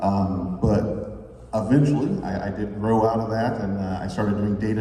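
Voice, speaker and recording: A man with a fairly low pitch and ordinary pitch variation speaks at a moderate pace, with noticeable background noise and audible room echo. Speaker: data consultant, former radio host. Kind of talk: conference workshop presentation. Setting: conference room with microphones.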